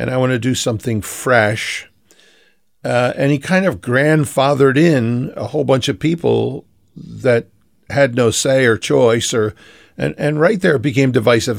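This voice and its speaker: This man has an unremarkable speaking voice with an American accent. He talks at a moderate pace in a medium pitch. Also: very clean recording, silent background. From Philadelphia, US. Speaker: pastor. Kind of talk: interview. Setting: radio show.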